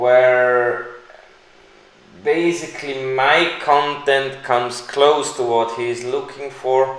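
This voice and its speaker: Someone with a non-native accent speaks very slowly with fairly even intonation, with noticeable background noise and audible room echo. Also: man, medium pitch for a man. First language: not English. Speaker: crypto YouTuber. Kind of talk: live stream Q&A. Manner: hesitant, with fillers.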